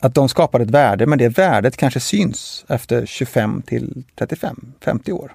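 A man's dark, mellow voice with lively intonation, in a dry, close sound with no echo. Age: 40s. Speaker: construction company CEO. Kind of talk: interview. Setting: studio. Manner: halting.

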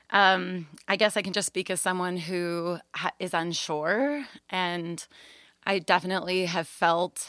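Heard on a very clean recording with a silent background, a woman has an ordinary speaking voice. Her pitch is fairly low and her pace moderate. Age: 20s. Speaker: babysitter. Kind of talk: casual chat. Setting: home closet, recorded.

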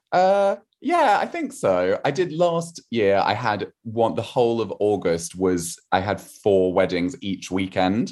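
Over a quiet background, a man with a southern English accent speaks at a very slow pace with hardly any pauses. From southern England, rural Wiltshire. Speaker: novelist. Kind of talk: casual interview chat.

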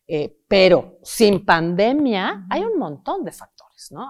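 A woman with a Mexican accent at a moderate pace, in a very clean recording with a silent background. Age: 40s. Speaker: psychotherapist. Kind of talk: interview. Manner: animated.

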